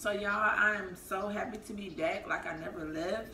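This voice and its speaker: Light background noise and audible room echo accompany this woman as she speaks. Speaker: food vlogger. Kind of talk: casual mukbang vlog chat. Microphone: camera far.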